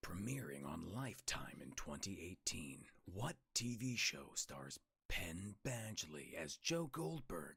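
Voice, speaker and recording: Whispering at a very slow pace, a man uses a put-on character voice. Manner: dramatic, sing-song repetition.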